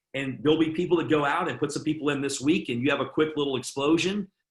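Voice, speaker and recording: Somewhat breathy, a man speaks at a fairly high pitch that varies in an ordinary way. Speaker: network marketing team leader. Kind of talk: sales training webinar. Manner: fast; moderate energy.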